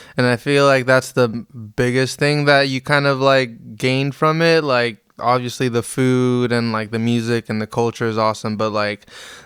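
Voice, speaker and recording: Intonation stays fairly even as the speech goes at a moderate pace. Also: man. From Las Vegas, US, Mexican immigrant parents. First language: Spanish. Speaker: reggae keyboard player and producer. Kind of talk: podcast interview. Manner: casual, halting with many fillers.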